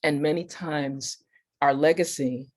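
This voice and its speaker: Someone speaks at a very slow pace in a very clean recording with a silent background. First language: not English. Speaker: spiritual teacher. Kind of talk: panel talk. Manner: formal.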